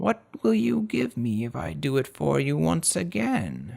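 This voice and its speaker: A man's raspy, put-on character voice at medium pitch, fairly slow, with very wide pitch swings. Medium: read story.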